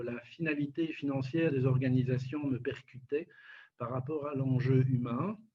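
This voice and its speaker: At a fairly slow pace, a man speaks in a flat monotone at medium pitch. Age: 60s. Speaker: nonprofit director. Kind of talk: interview. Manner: hesitant, many fillers.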